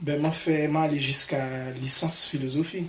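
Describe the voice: Audible room echo surrounds a man speaking in a fairly bright tone with fairly even intonation. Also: fairly high pitch for a man, moderate pace.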